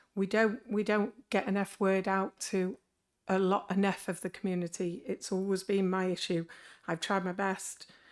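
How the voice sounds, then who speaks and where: Over a silent background in a very clean recording, a woman speaks with monotone, flat intonation. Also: medium pitch for a woman, moderate pace. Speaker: councillor. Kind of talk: committee meeting discussion.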